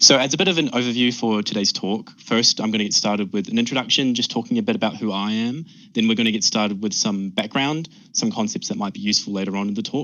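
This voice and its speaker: Speaking very fast in a New Zealand accent, the voice shows ordinary pitch variation. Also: man, medium pitch for a man. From New Zealand, Auckland. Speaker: PhD researcher. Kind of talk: research presentation.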